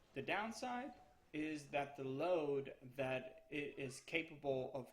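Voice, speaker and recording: A man with a Spanish accent speaks in a fairly high, somewhat breathy voice. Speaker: gaming YouTuber. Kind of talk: tutorial. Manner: casual, hesitant with fillers.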